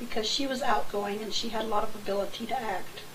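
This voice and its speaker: A woman talks at a moderate pace while noticeable background noise and audible room echo fill the recording. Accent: American. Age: 60s. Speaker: family elder giving a birthday tribute. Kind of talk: personal reminiscence to camera.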